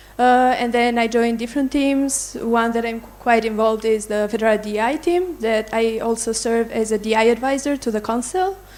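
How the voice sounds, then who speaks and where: A woman speaks at a moderate pace with hardly any pauses, her pitch fairly high with ordinary variation. Noticeable background noise is present. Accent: Albanian. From Tirana, Albania. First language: Albanian. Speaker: open-source community contributor. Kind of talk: panel introduction.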